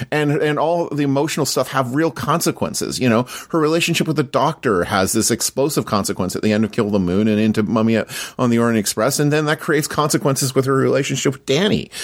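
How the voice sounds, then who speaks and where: A man with a Canadian accent, medium pitch, lively intonation and a very fast pace, in a very clean recording with a silent background. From Canada. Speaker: podcaster. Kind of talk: casual chat. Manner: halting.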